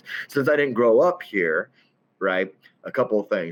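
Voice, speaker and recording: Lively intonation marks this man's speech, delivered with a slight Southern accent. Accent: slight southern drawl. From southern Illinois (Centralia). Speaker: CEO and networking event host. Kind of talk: casual podcast interview.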